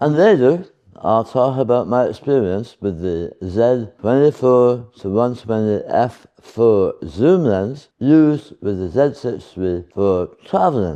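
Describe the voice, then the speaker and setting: A man's dark, mellow tone, with lively intonation at a very slow pace. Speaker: photography YouTuber. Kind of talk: vlog monologue. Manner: calm, not shouting.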